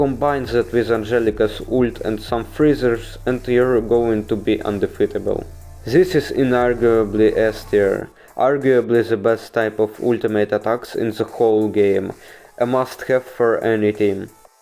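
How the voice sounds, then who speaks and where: Music plays in the background as a man with a non-native accent speaks at a fairly slow pace and medium pitch with fairly even intonation. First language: not English. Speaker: gaming video creator. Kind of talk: game guide voiceover. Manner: casual, humorous.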